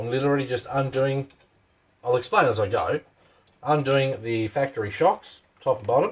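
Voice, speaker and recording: A man with an Australian accent, somewhat breathy and at a fairly quick pace, with ordinary pitch variation, big swings in loudness, and long, frequent pauses. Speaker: RC hobby channel host. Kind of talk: live stream tutorial. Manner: casual, chatty.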